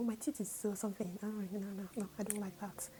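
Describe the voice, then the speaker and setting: Over noticeable background noise, a woman speaks at a medium pitch and a fairly quick pace. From northern Nigeria (Kaduna State). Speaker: YouTuber. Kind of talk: casual vlog monologue.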